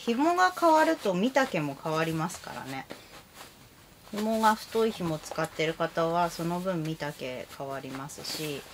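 Amid light background noise, a woman with a fairly low pitch talks in a relaxed tone at a fairly slow pace, with lively intonation and big swings in loudness. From Japan. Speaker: kimono vlogger. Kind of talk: casual chat. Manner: chatty, relaxed, laughs often. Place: home room. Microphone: camera far.

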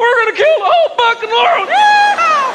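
Someone uses a put-on character voice at an extremely high pitch and a moderate pace. Light background noise is present. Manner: loud, aggressive, shouting.

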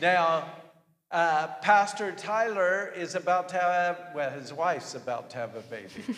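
At a very slow pace, a man speaks in a high pitch with ordinary pitch variation and big swings in loudness. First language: English (speaking Italian). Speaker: visiting pastor; pastor preaching. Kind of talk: sermon. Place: church.

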